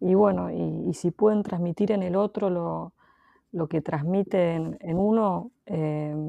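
Very slowly, a woman speaks in a fairly low pitch with a dark, mellow tone, recorded dry and close with no echo over a quiet background. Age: 40s. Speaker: photographer. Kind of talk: interview. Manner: halting.

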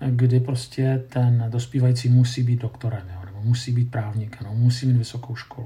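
Somewhat breathy male voice of medium pitch, dark and mellow in tone, at a fairly quick pace. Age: 50s. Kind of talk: lecture.

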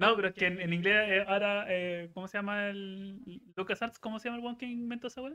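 The speaker talks at a fairly quick pace in a Chilean accent. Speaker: podcast co-host. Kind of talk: casual chat.

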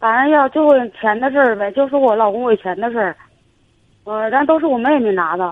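A woman talks at a fairly quick pace with a fairly high pitch and lively intonation, broken by long, frequent pauses. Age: 40s. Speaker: caller. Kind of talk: phone-in advice call.

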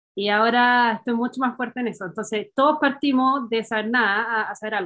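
Very fast delivery from a woman, fairly high in pitch, her pitch variation ordinary. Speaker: engineer, doctoral student. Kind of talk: casual chat.

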